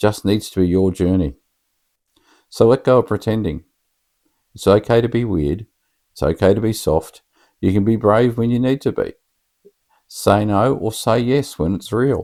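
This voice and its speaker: A man's fairly low-pitched voice, dark and mellow in tone, at a moderate pace. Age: 50s. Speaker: vlogger and writer. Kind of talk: vlog monologue.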